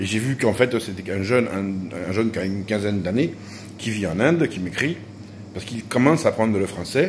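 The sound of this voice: A man talks with lively intonation at a moderate pace. His pitch sits fairly low.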